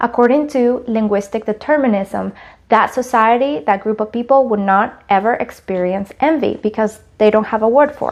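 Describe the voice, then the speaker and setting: A woman with a Spanish accent, fairly high pitch and a moderate pace. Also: ordinary pitch variation. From Latin America. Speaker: college student. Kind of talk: class presentation.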